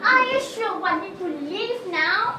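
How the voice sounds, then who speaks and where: Doing a put-on character voice, a woman speaks at a fairly slow pace in an extremely high pitch, with slight echo and loud background noise. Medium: stage play. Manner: grandiose, insistent.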